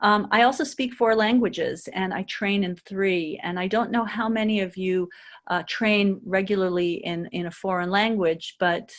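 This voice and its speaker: In an American accent, a woman of medium pitch speaks with ordinary pitch variation over a quiet background. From United States. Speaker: intercultural trainer and consultant. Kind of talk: webinar presentation. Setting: webinar. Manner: hesitant, many fillers.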